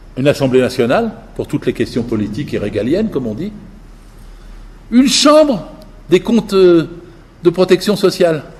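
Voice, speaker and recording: Speaking at a moderate pace with long, frequent pauses, a man uses a high voice that swings very widely in pitch. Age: 80s+. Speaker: political speaker. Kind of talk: public lecture. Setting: village hall with audience. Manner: animated.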